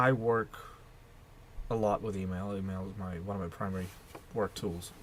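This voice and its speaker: A man with a Russian accent, fairly low in pitch, his intonation fairly even. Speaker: video blogger. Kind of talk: casual monologue vlog. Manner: hesitant, with repetitions.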